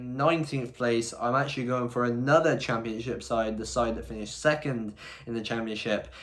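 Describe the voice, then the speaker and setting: Audible room echo surrounds a man with an English accent who talks fairly quickly, with fairly even intonation and big swings in loudness. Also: medium pitch for a man. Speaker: football youtuber. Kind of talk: vlog-style predictions monologue.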